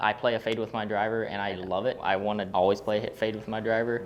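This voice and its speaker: A man speaks very fast in an enthusiastic tone, his pitch fairly low. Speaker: golf YouTuber. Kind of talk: casual chat during golf lesson. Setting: indoor golf training facility.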